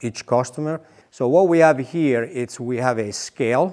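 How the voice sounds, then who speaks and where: At a fairly slow pace, a man uses a normal speaking voice with ordinary pitch variation. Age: 60s. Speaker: wool mill worker. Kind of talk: factory tour explanation.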